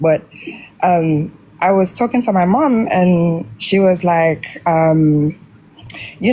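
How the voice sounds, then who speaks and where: A woman with an American accent speaks at a fairly low pitch. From Jamaica. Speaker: caller. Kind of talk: casual chat.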